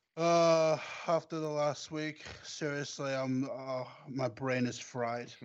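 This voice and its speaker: A man's fairly high voice at a very slow pace. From Scotland. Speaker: football fan podcast guest. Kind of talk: casual chat. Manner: animated.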